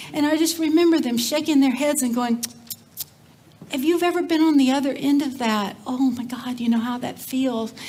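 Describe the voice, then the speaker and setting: A woman with an American accent, high pitch, ordinary pitch variation and a moderate pace, amid audible room echo and noticeable background noise. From Texas, Cajun family background. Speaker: community development leader, speaker. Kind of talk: conference talk. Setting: stage with audience. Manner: animated.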